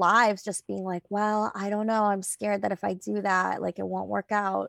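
A woman speaks at a moderate pace and a medium pitch in an ordinary speaking voice. The recording is very clean, with a silent background and a dry, close sound with no echo. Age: 40s. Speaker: financial coach and author. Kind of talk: casual chat.

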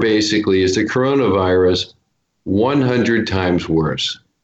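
This man speaks with an American accent and ordinary pitch variation. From Oregon. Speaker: actor and fitness trainer. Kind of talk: interview. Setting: studio.

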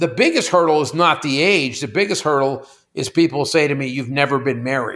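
A man with an American accent talks at a fairly quick pace in an ordinary speaking voice, his pitch fairly high with ordinary variation. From Pittsburgh, US. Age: 60s. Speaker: company CEO. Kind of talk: casual chat.

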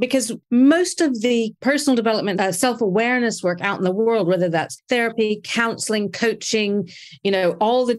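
A woman with an American accent and a fairly high pitch, a normal speaking voice, lively intonation and a moderate pace, on a very clean recording with a silent background. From United States. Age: 50s. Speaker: podcast host, intimacy coach. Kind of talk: casual chat.

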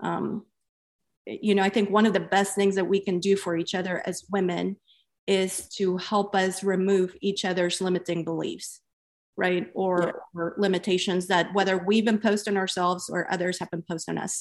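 At a moderate pace, a woman speaks in a medium-pitched voice with monotone, flat intonation. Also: quiet background. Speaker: podcast host and founder. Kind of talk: interview and moderated discussion.

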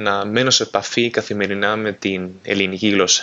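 A man with a Spanish accent, fairly low in pitch, at a moderate pace. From Spain, Valladolid. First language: Spanish (speaking Greek). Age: 20s. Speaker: interpreter, listener. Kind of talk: recorded voice message.

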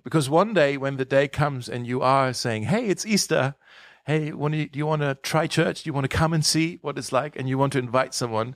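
Fairly high-pitched male voice at a fairly quick pace. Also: ordinary pitch variation, dry, close sound with no echo. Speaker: pastor. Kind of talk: casual chat. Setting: studio. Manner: halting.

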